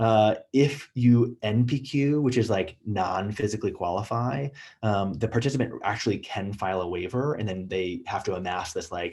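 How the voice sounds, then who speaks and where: Somewhat breathy, a man speaks at a fairly low pitch. His pitch varies in an ordinary way. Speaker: emergency physician. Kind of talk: lecture. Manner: fast; casual, filler-heavy.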